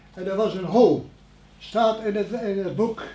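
A man's high-pitched voice at a fairly slow pace, with ordinary pitch variation and audible room echo. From Netherlands, Elden near Arnhem (Gelderland); Gelderland, Netherlands. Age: 90s. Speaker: war eyewitness, elderly villager; witness. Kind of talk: interview storytelling. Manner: halting. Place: meeting room. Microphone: camera far.

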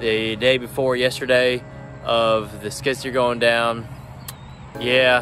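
Clear music plays behind a man speaking in a flat monotone. His voice sounds dry, with no echo. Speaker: vlogger. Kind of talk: casual vlog chat. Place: street. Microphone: phone near.

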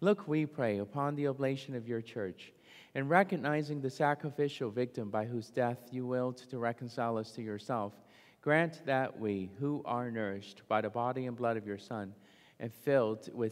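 Against a quiet background, a man talks at a moderate pace in a medium pitch with ordinary pitch variation. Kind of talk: mass liturgy, prayers and homily. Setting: church. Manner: formal, solemn, measured liturgical delivery. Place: church.

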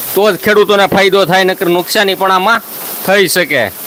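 Against noticeable background noise, a man speaks with a high pitch and fairly even intonation. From Saurashtra, Gujarat (Khambha, Amreli district). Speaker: farming YouTuber. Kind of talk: live stream chat with viewers. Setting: outdoors at night during rain, live stream.

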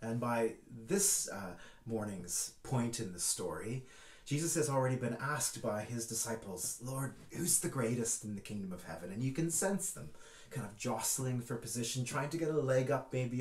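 A man speaks at a moderate pace, with audible echo in the room. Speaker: church minister. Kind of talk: sermon.

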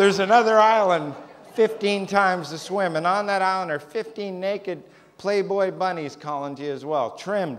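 Moderate pace and ordinary pitch variation in a man's high voice. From Canada. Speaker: stand-up comedian. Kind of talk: stand-up. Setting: stage with audience. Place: stage.

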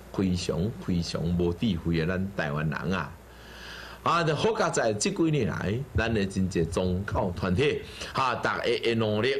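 A man with a fairly low pitch speaks at a fairly slow pace with lively intonation and very even loudness over light background noise. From Taiwan. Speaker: Buddhist teacher. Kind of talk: sermon. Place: studio. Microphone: lapel.

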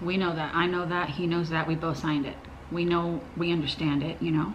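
A woman talks with fairly even intonation at a fairly low pitch. Light background noise can be heard. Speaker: parent vlogger. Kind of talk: casual vlog chat. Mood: upset, earnest. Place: home room.

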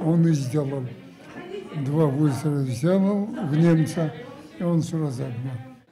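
Over crowd noise in the background, a man with a fairly high pitch speaks very slowly, leaving long, frequent pauses. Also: ordinary pitch variation. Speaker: war veteran. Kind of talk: testimony. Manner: halting. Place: home room.

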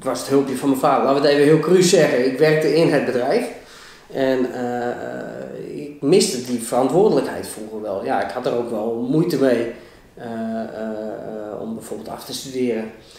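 A man talks at a moderate pace with ordinary pitch variation and big swings in loudness. Audible room echo surrounds his voice. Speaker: interview guest. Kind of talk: interview answer. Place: meeting room. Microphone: camera far.

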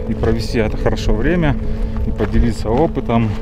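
Loud music plays behind a man speaking at a moderate pace in a dry sound with no echo. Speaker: vlogger. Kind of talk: casual vlog chat. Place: open country. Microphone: phone near.

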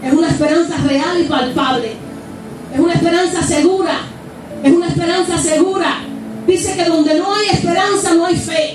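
A woman with an extremely high voice speaks in an animated tone, with long, frequent pauses, audible room echo and noticeable background noise. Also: moderate pace. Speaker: preacher. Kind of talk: sermon. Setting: church with live congregation, streamed online. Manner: fervent, exhortative pulpit delivery with rhetorical questions; animated, repeating phrases, punctuated by shouts of praise. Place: church.

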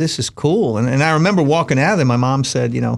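In an American accent, a man talks fast at a medium pitch with lively intonation and vocal fry, in a very clean recording with a silent background.

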